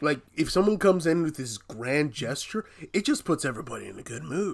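Fairly quick and lively in intonation, a man with a fairly high pitch and vocal fry is heard in a very clean recording with a silent background. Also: big swings in loudness. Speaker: podcast co-host. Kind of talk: casual chat.

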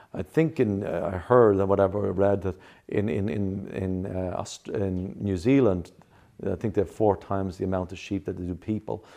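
Over a quiet background, a man with an Irish accent speaks at a moderate pace in a dark, mellow tone, his pitch fairly low with ordinary variation. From Ireland. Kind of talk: interview.

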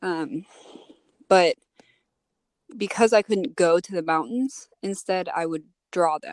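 A woman's medium-pitched voice at a very slow pace, with lively intonation, long and frequent pauses, big swings in loudness, and a dry, close sound with no echo. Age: 20s. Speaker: artist and rock climber. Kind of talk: casual interview. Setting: in her van. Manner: hesitant, many fillers.

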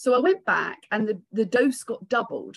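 A woman with a British accent speaks at a moderate pace. Her voice is somewhat breathy. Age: 50s. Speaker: psychotherapist. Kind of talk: interview on a live community call.

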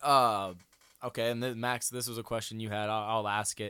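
A man with an American accent talks at a fairly quick pace. His tone is bright and sharp. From Iowa. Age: 20s. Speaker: college football player and podcast host. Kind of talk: casual chat.

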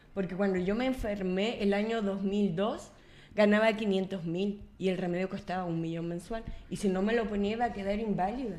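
In a room with audible echo, a woman speaks at medium pitch and a fairly slow pace with fairly even intonation. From Chile, Coquimbo. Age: 40s. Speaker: municipal official and journalist. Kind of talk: radio panel conversation.

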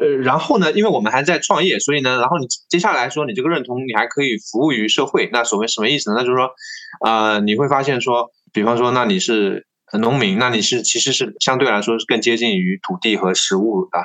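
A man talks at a very fast pace in a medium-pitched voice with a bright, sharp tone. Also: ordinary pitch variation. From Tongxiang, Zhejiang, China. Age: 30s. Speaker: silkworm farmer and podcast host. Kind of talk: interview. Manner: halting, many fillers.

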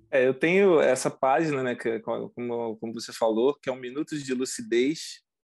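In an unremarkable speaking voice, a man talks at a fairly slow pace with a medium pitch. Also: quiet background. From Brazil, coastal region. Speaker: former oil industry worker, immigrant. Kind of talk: casual interview. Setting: video call.

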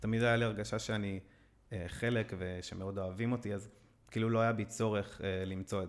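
The voice is an ordinary speaking voice with fairly even intonation. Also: man. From Israel (Netanya), adopted from Brazil as baby. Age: 30s. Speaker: fintech employee. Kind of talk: casual interview chat.

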